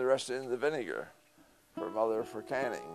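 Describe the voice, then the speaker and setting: Over music in the background, a man with a medium pitch talks at a moderate pace. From Point Peter, Prince Edward County, Ontario. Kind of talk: interview answer.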